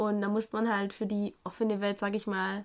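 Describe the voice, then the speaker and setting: A woman speaks with a Swabian accent. Her pitch sits in the medium range. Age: 20s. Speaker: guest. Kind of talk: casual chat.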